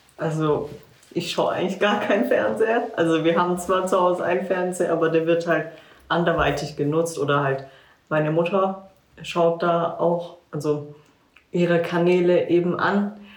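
A woman with a fairly low pitch talks at a moderate pace, with fairly even intonation and very even loudness. Audible room echo and noticeable background noise fill the recording. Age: 20s. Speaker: social work student. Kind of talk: casual chat.

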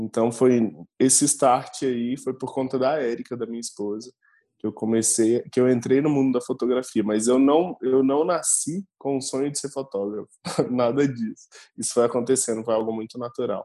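A man speaks at a medium pitch and a moderate pace. His tone is dark and mellow, with fairly even intonation. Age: 30s. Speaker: photographer. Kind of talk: casual chat.

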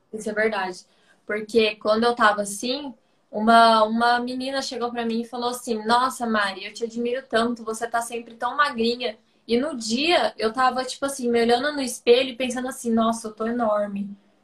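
Here a woman uses a normal speaking voice at a fairly high pitch. She keeps a moderate pace and fairly even intonation. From Brazil, interior of São Paulo state (Ribeirão Preto). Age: 20s. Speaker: ballet dancer. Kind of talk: casual chat on a live stream.

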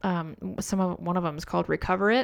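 A woman with a medium pitch talks in a plain, everyday voice. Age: 20s. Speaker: podcast co-host, photographer. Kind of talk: casual chat.

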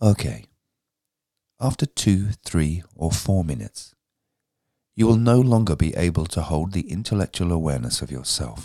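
A man with a very deep, low pitch and a dark, mellow tone speaks at a moderate pace, with very wide pitch swings and long, frequent pauses, in a dry, close sound with no echo. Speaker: audiobook narrator and podcast presenter. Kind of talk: audiobook reading of a spiritual teaching text. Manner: steady, instructive, earnest, formal.

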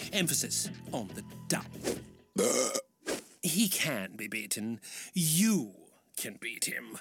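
A man is speaking. Music plays in the background. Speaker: mysterious stranger in an animated show. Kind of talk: formal, elaborate wording. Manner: haughty, condescending.

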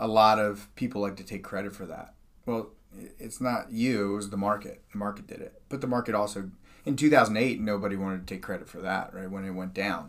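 An unremarkable speaking voice: a fairly low-pitched man at a fairly quick pace, fairly even intonation, big swings in loudness. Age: 40s. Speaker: financial advisor. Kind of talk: casual chat.

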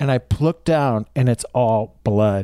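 A man's voice sits at medium pitch with a dark, mellow tone and ordinary pitch variation. The very clean recording is dry and close, with no echo and a silent background. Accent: American. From Ohio, US Midwest. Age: 50s. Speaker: comedian. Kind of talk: casual chat.

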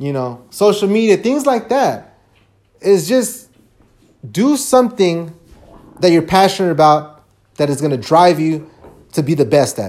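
At a moderate pace, the speaker sounds animated, with very wide pitch swings, big shifts in loudness, and long, frequent pauses. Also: man, high pitch for a man. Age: 30s. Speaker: solo podcaster. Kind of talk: motivational rant.

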